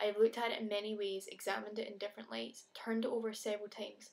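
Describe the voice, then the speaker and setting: A woman with a Scottish accent speaks very fast in a fairly high voice. Her intonation stays monotone and flat. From Scotland. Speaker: video blogger. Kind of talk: reading aloud own letter.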